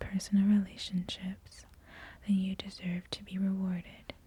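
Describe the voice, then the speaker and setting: Fairly slow pacing marks this voice. The speaker is soft-spoken throughout. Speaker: ASMR creator. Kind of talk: ASMR magazine reading.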